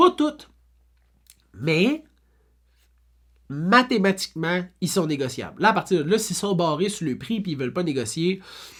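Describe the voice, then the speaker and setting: Spoken at a fairly slow pace in a Quebec accent, the clip is a very clean recording with a silent background. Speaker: real estate broker. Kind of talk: FAQ video monologue. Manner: animated, casual.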